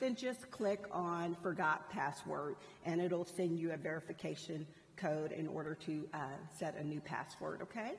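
A woman speaks in a normal speaking voice, fairly low in pitch, with ordinary pitch variation at a moderate pace. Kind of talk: announcements to a class. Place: church. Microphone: headset.

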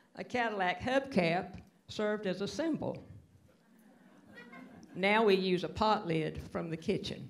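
Light background noise sits behind a woman speaking. Her pace is fairly slow, with ordinary pitch variation. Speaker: band member narrator. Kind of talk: concert announcement. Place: hall. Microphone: handheld.

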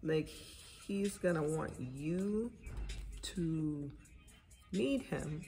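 With faint music in the background, a woman talks at a fairly low pitch. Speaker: tarot reader. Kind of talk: casual tarot reading. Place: home room. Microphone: phone near.

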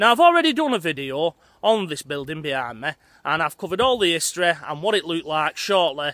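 Recorded dry with no echo against a quiet background, a man talks very fast in a high, bright, sharp voice. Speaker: vlogger. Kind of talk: casual vlog chat. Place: open country. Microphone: phone near.

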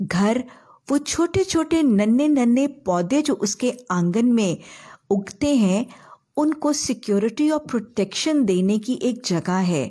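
A woman speaks very slowly in a dark, mellow tone. Her pitch swings very widely against a quiet background. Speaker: religious teacher. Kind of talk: religious lecture. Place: home room.

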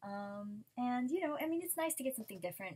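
A woman's voice with very wide pitch swings. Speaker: unboxing vlogger. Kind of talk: casual vlog chat. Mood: cheerful, chatty. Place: home room. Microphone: webcam.

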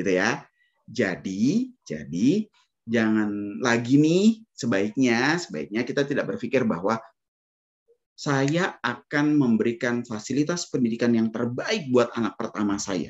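This is a plain, everyday voice with lively intonation. It moves at a fairly slow pace over a quiet background. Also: man, medium pitch for a man. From Indonesia. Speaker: financial planner. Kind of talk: webinar talk. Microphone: video call.

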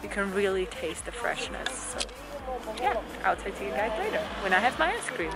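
A woman at a moderate pace, with loud background noise. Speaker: vlogger. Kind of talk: casual vlog chat. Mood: happy, enthusiastic. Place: street. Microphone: phone near.

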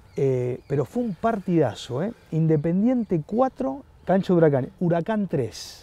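At a fairly slow pace, a man with a high pitch and a dark, mellow tone makes very wide pitch swings in a dry sound with no echo. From Buenos Aires, Argentina; Argentina. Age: 40s. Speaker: sports journalist. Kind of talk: casual chat. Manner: halting, frequent repetitions. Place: garden. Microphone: lapel.

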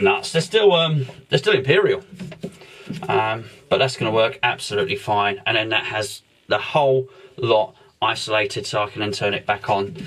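Long, frequent pauses break up a man's moderate pace and lively intonation. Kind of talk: tutorial. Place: home room.

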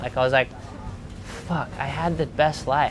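A man speaks with fairly even intonation. Clear music plays in the background. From Indonesia (Bali) and Australia. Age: 20s. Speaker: professional surfer. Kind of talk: interview answer. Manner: casual, rambling. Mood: candid, emotional storytelling. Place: boat. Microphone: lapel.

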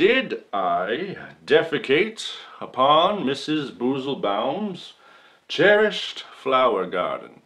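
A man with a bright, sharp tone and vocal fry speaks at a very slow pace, his pitch swinging very widely. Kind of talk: theatrical courtroom monologue. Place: hall.

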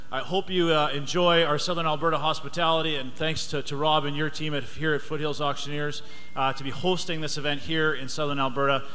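A man talks at a fairly quick pace in a fairly high voice. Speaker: member of parliament. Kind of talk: welcome speech at a live event. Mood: warm, jovial. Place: hall.

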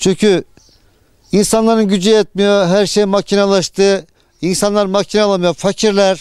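A man's high-pitched voice, monotone and flat, with very even loudness and a fairly slow pace. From Turkey, Eskişehir province. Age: 60s. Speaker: potter. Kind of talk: interview. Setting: outdoors.

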